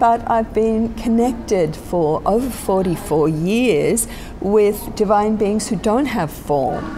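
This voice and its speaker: With an Australian accent and ordinary pitch variation, a woman speaks amid noticeable background noise and audible room echo. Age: 60s. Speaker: spiritual teacher. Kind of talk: interview. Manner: reflective, with many fillers.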